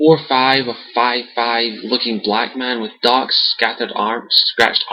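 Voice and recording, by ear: Someone reads aloud in a natural voice, the intonation fairly even.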